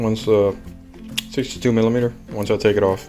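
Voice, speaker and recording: Music plays in the background while the words come at a fairly quick pace. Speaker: home mechanic, jeep owner. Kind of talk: DIY install tutorial. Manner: mumbling.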